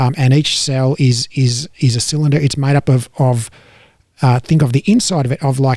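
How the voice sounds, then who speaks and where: A man with an Australian accent speaks at a moderate pace and medium pitch, his dark, mellow tone somewhat breathy, with fairly even intonation and very even loudness. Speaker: fitness educator. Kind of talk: casual educational chat. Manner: halting, repetitive.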